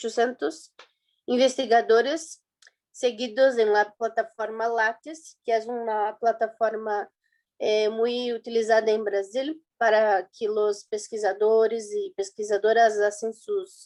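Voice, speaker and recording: The speaker has a Brazilian accent and talks at a very slow pace with fairly even intonation. The recording is very clean, with a silent background. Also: woman, fairly high pitch for a woman. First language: Portuguese (speaking Spanish). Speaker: student presenter. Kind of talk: conference presentation. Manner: halting, many fillers and restarts.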